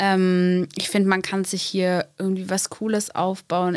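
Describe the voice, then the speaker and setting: Her voice medium in pitch, a woman speaks at a very slow pace, the sound dry and close with no echo. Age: 20s. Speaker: school and youth social worker. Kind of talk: casual interview.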